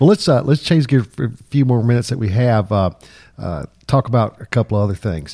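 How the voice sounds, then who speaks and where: A man's somewhat breathy voice with a dark, mellow tone, medium pitch and lively intonation, at a fairly quick pace, in a dry, close sound with no echo. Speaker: attorney and podcast host. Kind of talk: casual interview.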